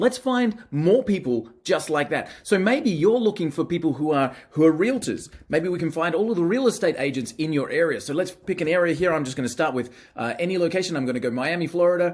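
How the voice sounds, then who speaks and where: Talking at a fairly quick pace with hardly any pauses, the speaker has an Australian accent and lively intonation. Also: man, high pitch for a man. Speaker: marketing software presenter. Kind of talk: product demo. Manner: casual, some filler hesitations.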